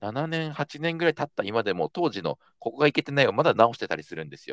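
A man with a fairly high pitch speaks at a fairly quick pace with very wide pitch swings. The sound is dry and close with no echo, in a very clean recording with a silent background. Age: 30s. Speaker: startup founder and CEO. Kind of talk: casual chat.

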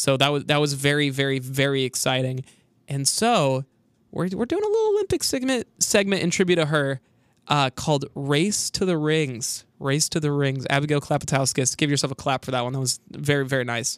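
A man with a plain, everyday voice talks at a fairly quick pace and fairly high pitch, with ordinary pitch variation, in a very clean recording against a silent background. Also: dry, close sound with no echo. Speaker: college radio sports host. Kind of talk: casual chat.

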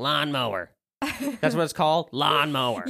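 Putting on a raspy character voice, a man speaks at a fairly high pitch and a moderate pace. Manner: slow, monotone.

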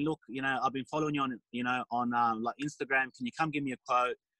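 The speaker is a man. He goes at a very fast pace. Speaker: small business owner. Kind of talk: casual interview chat. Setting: in a van on a video call. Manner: halting.

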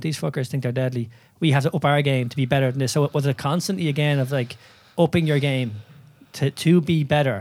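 A man with an Irish accent talks at a very fast pace in a fairly high pitch with ordinary pitch variation. The recording is very clean, with a silent background. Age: 30s. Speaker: podcast host and movement coach. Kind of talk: casual interview.

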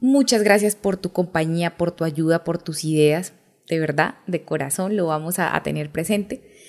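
In a normal speaking voice, a woman talks at a moderate pace with a fairly low pitch and ordinary pitch variation. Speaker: podcast host, mother. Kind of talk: interview.

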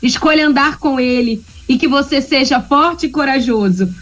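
At a moderate pace, the speaker keeps a very even loudness and ordinary pitch variation against noticeable background noise. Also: woman. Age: 40s. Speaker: radio segment presenter. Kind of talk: casual talk-radio chat. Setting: remote from home. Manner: animated.

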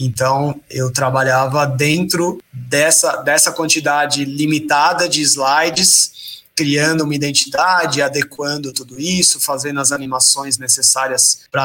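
A man's normal speaking voice, fairly high in pitch, with fairly even intonation, a fairly slow pace and hardly any pauses. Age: 30s. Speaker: presentation designer. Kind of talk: interview. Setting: live stream.

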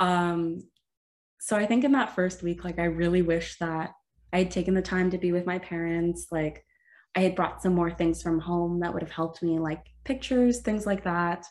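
A woman with a Canadian accent speaks in a plain, everyday voice at a moderate pace with ordinary pitch variation against a quiet background. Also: fairly low pitch for a woman. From Ontario, Canada. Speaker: student podcast co-host. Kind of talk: casual chat.

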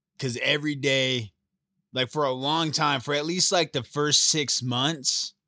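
The recording is very clean with a silent background and a dry, close sound with no echo. A man speaks very slowly in a bright, sharp tone, with ordinary pitch variation. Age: 30s. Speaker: host's brother, guest. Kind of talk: casual chat. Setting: home garage studio.

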